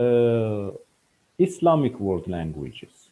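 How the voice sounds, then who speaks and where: Speaking very slowly with a non-native accent, a man uses lively intonation. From Iran. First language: Farsi. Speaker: scientist. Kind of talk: interview. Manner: halting, many fillers.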